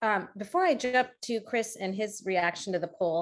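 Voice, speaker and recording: A woman speaks with an American accent. Her pace is fairly slow. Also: very clean recording, silent background. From US. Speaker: podcast host. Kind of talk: casual interview.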